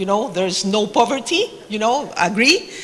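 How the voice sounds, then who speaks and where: A woman with a Spanish accent speaks at a moderate pace in a fairly high voice, with noticeable background noise. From Mexico. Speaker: government official in development cooperation. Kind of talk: panel discussion. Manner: hesitant, many fillers.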